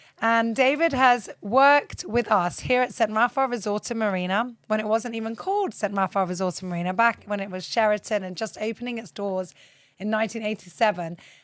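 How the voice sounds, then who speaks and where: A woman with a plain, everyday voice, fairly high pitch, ordinary pitch variation, and a fairly quick pace. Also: hardly any pauses. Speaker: podcast host. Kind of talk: interview host, casual talk.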